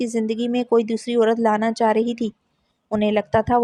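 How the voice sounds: Quiet surroundings and a natural reading voice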